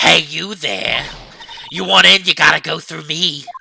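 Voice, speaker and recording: The put-on character voice sits at a middle pitch and keeps a moderate pace. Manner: gruff, challenging.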